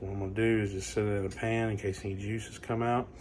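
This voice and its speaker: A man with a fairly low pitch talks at a fairly quick pace, somewhat breathy, with fairly even intonation. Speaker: home cook / barbecue channel host. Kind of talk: casual cooking tutorial. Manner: casual, relaxed; quiet, hushed.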